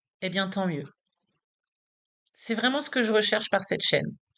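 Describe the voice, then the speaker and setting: Fairly high and lively, a woman's bright, sharp voice moves at a moderate pace. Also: long, frequent pauses. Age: 40s. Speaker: patient advocate vlogger. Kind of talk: personal vlog testimony. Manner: casual, direct address to viewer.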